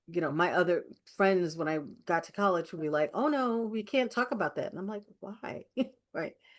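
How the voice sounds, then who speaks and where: A woman's medium-pitched, unremarkable speaking voice with an American accent, lively intonation, big swings in loudness, and a moderate pace. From New York. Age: 60s. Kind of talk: casual chat.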